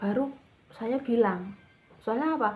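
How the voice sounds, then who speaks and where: A woman at a fairly slow pace. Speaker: vlogger sharing thyroid treatment experience. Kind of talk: personal testimony vlog. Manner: halting, many fillers and restarts.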